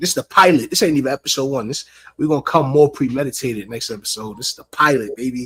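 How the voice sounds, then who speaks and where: In a New York accent, a man with a fairly high pitch and ordinary pitch variation talks at a very fast pace, in a very clean recording with a silent background and a dry, close sound with no echo. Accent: New York City. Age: 30s. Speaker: rapper and show co-host. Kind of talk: casual chat.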